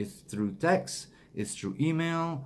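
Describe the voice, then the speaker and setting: A man with a non-native accent talks at a fairly slow pace with lively intonation. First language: not English. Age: 40s. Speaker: motivational speaker. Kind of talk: motivational monologue. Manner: halting.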